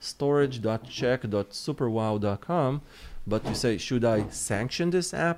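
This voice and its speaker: A man with a plain, everyday voice speaks at a fairly slow pace, his medium-pitched delivery full of lively intonation, on a very clean recording with a silent background. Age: 30s. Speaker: cybersecurity lead at a tech company. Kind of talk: technical podcast interview.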